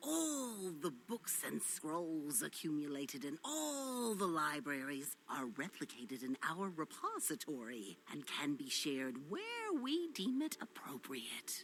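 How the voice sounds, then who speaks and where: With clear background noise, someone does a put-on character voice at a middle pitch, moving at a fairly slow pace with hardly any pauses. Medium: video game. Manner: gruff, impatient.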